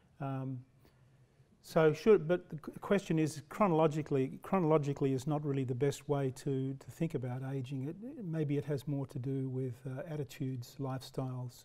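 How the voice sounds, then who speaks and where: A man with an Australian accent talks at a fairly quick pace in a dark, mellow tone, fairly high in pitch, with fairly even intonation. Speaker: professor; lecturer. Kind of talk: lecture. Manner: halting. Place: hall. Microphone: podium.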